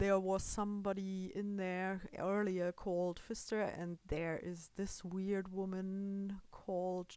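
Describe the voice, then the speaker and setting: On a very clean recording with a silent background, a woman with a non-native accent speaks very slowly. Her medium-pitched voice stays monotone and flat. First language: German. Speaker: gaming video creator. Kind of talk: gameplay commentary. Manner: halting, with fillers.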